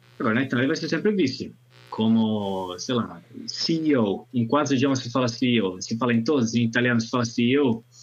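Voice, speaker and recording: Ordinary pitch variation shapes a man's speech at a moderate pace. Music runs in the background. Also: medium pitch for a man. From northern Italy, Alps. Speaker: language teacher and conference interpreter. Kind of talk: casual chat.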